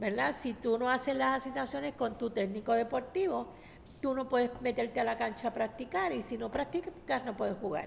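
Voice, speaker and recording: A woman's fairly high voice at a moderate pace, a normal speaking voice with lively intonation. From Puerto Rico, San Juan (Barrio Obrero). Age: 60s. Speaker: community leader. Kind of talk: radio interview.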